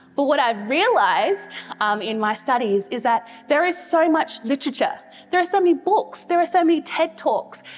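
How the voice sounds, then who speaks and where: High-pitched woman's voice with very wide pitch swings, music in the background. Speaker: pastor. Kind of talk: sermon. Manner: fast.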